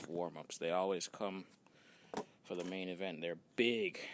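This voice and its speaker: A man's very deep, low voice, fairly even in intonation, at a fairly slow pace. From Jamaica. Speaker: fitness vlogger. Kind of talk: casual vlog narration.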